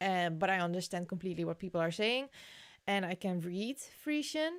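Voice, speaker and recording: Speaking at a moderate pace with a Dutch accent, a woman uses lively intonation at a medium pitch on a very clean recording with a silent background. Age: 20s. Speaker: crafting YouTuber. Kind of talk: casual livestream chat reading comments. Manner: hesitant, with fillers.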